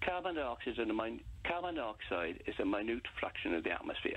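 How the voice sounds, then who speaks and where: Delivered at a fairly quick pace, the speech comes through noticeable background noise. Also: man. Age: 70s. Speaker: radio phone-in caller. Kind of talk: phone-in debate. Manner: halting, many fillers and repeats.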